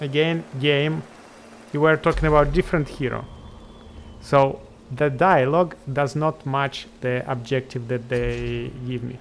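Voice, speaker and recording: A man with a non-native accent speaks at a fairly slow pace, his pitch fairly high. His intonation stays fairly even. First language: not English. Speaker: video game streamer. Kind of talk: gameplay commentary. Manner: halting.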